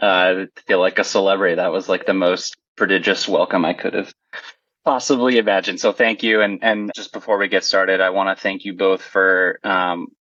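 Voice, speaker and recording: Speaking fairly quickly with fairly even intonation, a man uses a plain, everyday voice at a fairly low pitch. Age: 30s. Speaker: kidney transplant recipient. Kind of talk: podcast interview.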